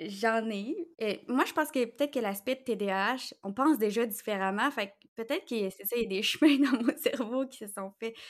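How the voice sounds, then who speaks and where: Here a woman with an ordinary speaking voice speaks at a moderate pace and a fairly high pitch. Her pitch varies in an ordinary way, and the recording is very clean, with a silent background. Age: 30s. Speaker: social media manager and intuitive astrologer. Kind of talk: interview.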